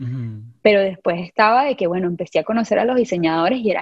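A woman with a Venezuelan accent speaks with lively intonation. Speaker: product designer. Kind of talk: casual interview.

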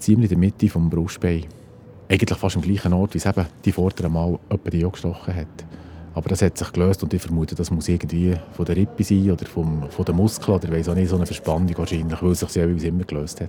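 A man's very deep, low voice at a very fast pace, monotone and flat, with music in the background. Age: 50s. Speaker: geomatics technician, heart attack survivor. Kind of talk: personal testimony. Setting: outdoors.

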